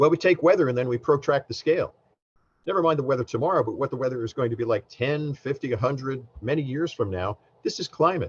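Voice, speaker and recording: A man with an American accent speaks very fast in a somewhat breathy, fairly high voice with ordinary pitch variation, recorded dry and close with no echo. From US Northeast, New Jersey. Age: 60s. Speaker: government science administrator. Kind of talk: keynote speech. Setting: conference presentation with slides.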